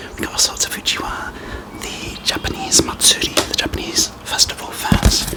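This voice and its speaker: Whispering at a moderate pace in a relaxed tone, with noticeable background noise. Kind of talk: ASMR whisper talk to camera. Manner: soft-spoken, relaxed.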